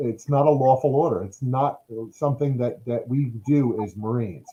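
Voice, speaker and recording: A man speaks with a dark, mellow tone at a fairly high pitch. His voice is somewhat breathy. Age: 50s. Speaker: retired marine officer and veteran. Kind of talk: interview conversation. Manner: halting with fillers and repetitions.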